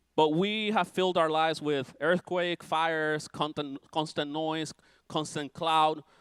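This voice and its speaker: This is an ordinary speaking voice, a man with a fairly high pitch. He talks at a fairly slow pace with fairly even intonation. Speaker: preacher. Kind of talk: sermon.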